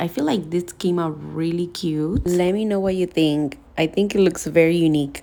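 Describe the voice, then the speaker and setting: A woman at a fairly low pitch, moderate pace and fairly even intonation, with noticeable background noise. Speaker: nail technician. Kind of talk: tutorial voiceover. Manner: soft-spoken.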